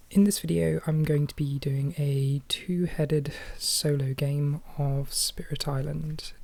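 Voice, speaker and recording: A soft-spoken, somewhat breathy woman with a dark, mellow tone and a very deep, low pitch at a fairly slow pace. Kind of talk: ASMR board game playthrough narration.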